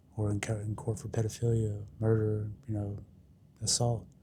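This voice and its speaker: A somewhat breathy man's voice of fairly low pitch. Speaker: recovery storyteller. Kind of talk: personal testimony. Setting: dentist waiting room. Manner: casual, conversational with fillers.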